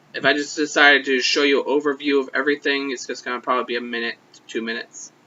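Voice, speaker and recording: This man's voice sits at a fairly high pitch. He speaks very fast. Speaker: vlogger. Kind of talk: casual vlog update. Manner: slurred.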